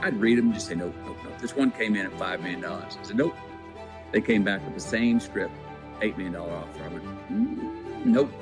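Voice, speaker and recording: With music in the background, a man speaks in a Texas accent. His fairly low voice carries lively intonation. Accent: Texas drawl. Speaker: actor. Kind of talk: podcast interview answer. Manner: storytelling.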